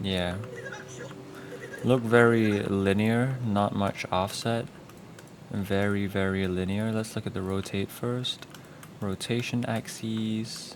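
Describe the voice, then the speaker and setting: The speech comes at a very slow pace in a flat monotone, broken by long, frequent pauses, with noticeable background noise throughout. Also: man, fairly low pitch for a man. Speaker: animator. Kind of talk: tutorial. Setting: live stream. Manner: casual.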